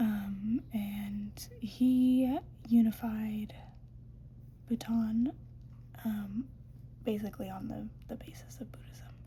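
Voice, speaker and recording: Soft-spoken, the speaker moves at a very slow pace. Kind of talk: ASMR educational talk.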